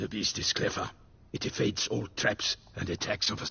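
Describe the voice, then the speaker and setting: A man puts on a raspy character voice with fairly low pitch. He talks at a moderate pace. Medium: video game. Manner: grave, foreboding.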